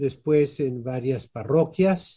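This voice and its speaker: This man's voice has a dark, mellow tone. It sits fairly high in pitch and varies in an ordinary way. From Mexico, Tijuana (Baja California). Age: 70s. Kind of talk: interview.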